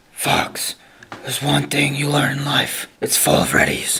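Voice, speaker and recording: Whispering at a moderate pace, a man puts on a raspy character voice. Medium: short film. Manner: grave, solemn.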